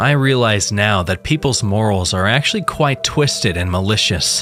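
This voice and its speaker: Music plays in the background as a man speaks at a moderate pace. His pitch is fairly low and his intonation lively. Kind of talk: horror story narration.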